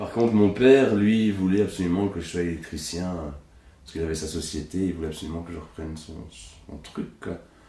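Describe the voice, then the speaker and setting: Very deep and low in pitch, a man's voice carries a dark, mellow tone and ordinary pitch variation, with audible room echo. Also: big swings in loudness. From Belgium, Hainaut (La Buissière). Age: 30s. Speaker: puppeteer. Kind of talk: casual interview. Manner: casual, hesitant with fillers.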